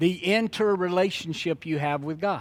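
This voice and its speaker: On a very clean recording with a silent background, a man with a Louisiana accent speaks at a high pitch. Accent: Southern US (Louisiana). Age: 60s. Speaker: preacher. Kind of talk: sermon. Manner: conversational.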